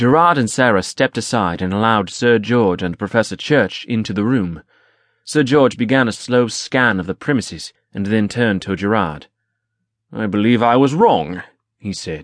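Against a quiet background, a plain, everyday voice speaks at a moderate pace with lively intonation. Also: man, medium pitch for a man. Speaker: audiobook narrator. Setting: studio.

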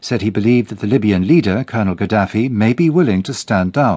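Over a quiet background, a man with a normal speaking voice and a medium pitch talks at a fairly quick pace with lively intonation. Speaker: radio newsreader. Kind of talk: news reading, BBC world news bulletin. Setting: studio. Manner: formal, measured, crisp and even-paced.

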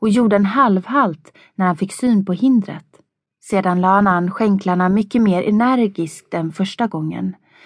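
A natural reading voice with ordinary pitch variation is heard over a quiet background.

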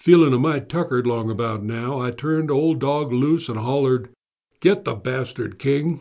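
In an American accent, a man speaks in a relaxed, dark, mellow tone. His pitch sits in the middle of his range with ordinary variation. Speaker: audiobook narrator playing a retired lawman. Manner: gruff drawling storyteller, dry and wry, with slow, relaxed cowboy-style delivery; colloquial, folksy and a bit menacing when voicing the lawman's warnings to the suspect.

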